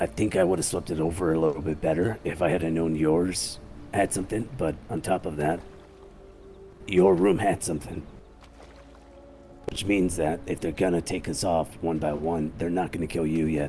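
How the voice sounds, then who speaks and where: A man's raspy put-on character voice, very deep and low, at a moderate pace with long, frequent pauses and clear background noise. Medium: game stream. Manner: measured, methodical.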